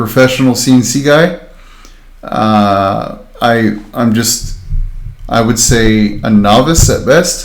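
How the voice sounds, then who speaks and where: A man at a medium pitch and very slow pace, with audible room echo. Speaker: makerspace instructor. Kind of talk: tutorial livestream. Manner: monotone.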